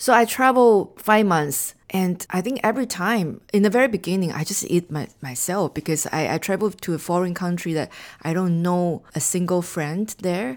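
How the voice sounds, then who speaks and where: A woman speaks with a Chinese accent at a moderate pace. She leaves hardly any pauses. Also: medium pitch for a woman, ordinary pitch variation, very clean recording, silent background. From Taiwan. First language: Mandarin Chinese. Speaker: marketing executive and author. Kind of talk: interview conversation. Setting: studio.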